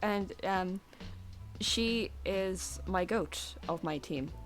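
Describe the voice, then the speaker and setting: A woman speaks in a relaxed tone. Music plays in the background. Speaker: vtuber streamer. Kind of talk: casual live stream chat while drawing. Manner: quiet, not speaking loudly; relaxed, hesitant with fillers.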